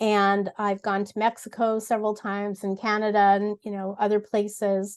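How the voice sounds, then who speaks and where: A woman speaks in a monotone, flat intonation with big swings in loudness. The background is quiet. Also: moderate pace. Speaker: voice actor and lifestyle blogger. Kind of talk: interview.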